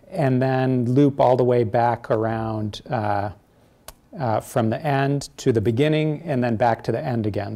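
The pace here is fairly slow. A man speaks with ordinary pitch variation. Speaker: guest lecturer. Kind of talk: lecture. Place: hall. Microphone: podium.

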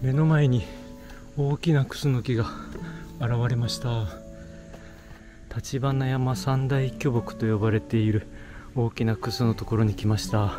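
A man at a fairly slow pace with ordinary pitch variation and long, frequent pauses, clear music in the background. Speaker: hiker vlogger. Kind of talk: casual vlog chat. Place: forest. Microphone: phone near.

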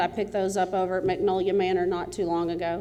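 A woman with a Texas accent, medium-pitched with a dark, mellow tone, at a fairly quick pace amid audible room echo. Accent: Texas Southern. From East Texas. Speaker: animal rescue volunteer. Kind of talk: public comment at council meeting. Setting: city council meeting, at microphone. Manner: loud.

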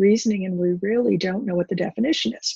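Somewhat breathy and dark, mellow in tone, a woman speaks with a dry sound and no echo over a quiet background. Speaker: bible teacher. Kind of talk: teaching talk. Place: home room. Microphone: webcam.

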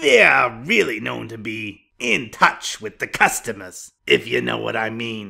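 The voice is raspy and moves at a fairly slow pace. It runs on with hardly any pauses. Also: man, medium pitch for a man. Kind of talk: PA announcement. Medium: machinima. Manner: condescending, falsely polite.

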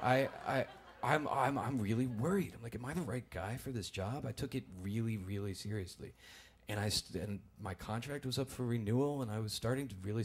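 The speaker is a man with a somewhat breathy voice. He moves along at a fairly quick pace. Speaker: storyteller. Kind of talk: personal story told on stage. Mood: earnest, conflicted. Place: stage. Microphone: studio mic.

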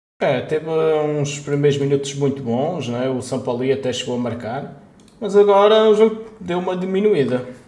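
Audible room echo surrounds the voice. A man speaks at a fairly high pitch with lively intonation. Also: moderate pace. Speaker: football commentator and tipster; football commentator. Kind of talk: live football commentary and betting chat. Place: home room. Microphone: headset.

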